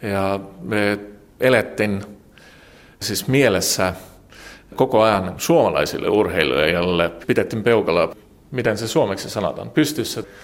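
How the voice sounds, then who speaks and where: With lively intonation and a fairly low pitch, a man speaks at a fairly slow pace, leaving long, frequent pauses. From Estonia, Tallinn. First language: Estonian (speaking Finnish). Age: 40s. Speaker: journalist. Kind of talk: interview. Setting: newspaper office. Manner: halting.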